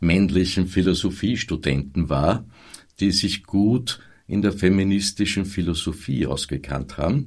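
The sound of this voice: Speaking at a moderate pace, a man with a low-pitched voice uses lively intonation.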